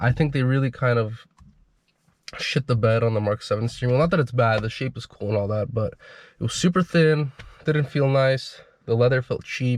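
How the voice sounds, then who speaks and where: Somewhat breathy and at medium pitch, a man speaks at a fairly quick pace with ordinary pitch variation and long, frequent pauses. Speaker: car enthusiast owner. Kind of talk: casual car review to camera. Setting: in car.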